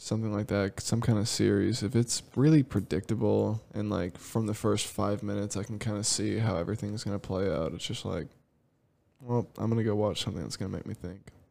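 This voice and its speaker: Soft-spoken and mumbling, a man talks at a fairly low pitch with ordinary pitch variation. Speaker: podcast co-host. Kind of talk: casual chat. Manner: mumbly, soft-spoken.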